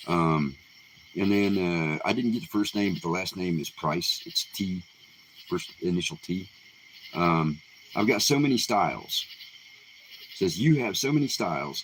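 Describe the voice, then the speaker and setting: A man talks at a moderate pace in a very deep, low voice, with lively intonation. His speech has long, frequent pauses. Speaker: independent musician. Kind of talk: live stream Q&A. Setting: live stream. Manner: halting, many fillers.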